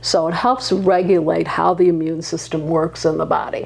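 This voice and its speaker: A moderate pace over noticeable background noise. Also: woman. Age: 70s. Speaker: physician. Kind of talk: interview conversation.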